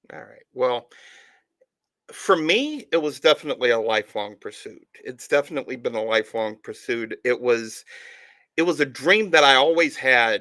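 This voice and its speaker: In a very clean recording, silent background, a man with a Southern US accent and a fairly high pitch speaks at a moderate pace with a bright, sharp tone, lively intonation and big swings in loudness. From Alabama, US South (Tuscaloosa). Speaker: author and podcast host. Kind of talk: interview. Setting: live stream.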